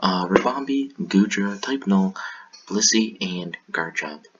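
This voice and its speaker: A man speaks over noticeable background noise. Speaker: gaming commentator. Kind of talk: live commentary on recorded game battles. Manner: casual, with frequent fillers.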